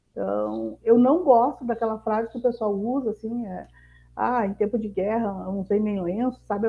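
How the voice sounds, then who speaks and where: A southern Brazilian accent with ordinary pitch variation. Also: woman. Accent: gaúcho. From Rio Grande do Sul interior, southern Brazil. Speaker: mentor and entrepreneur. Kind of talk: masterclass talk.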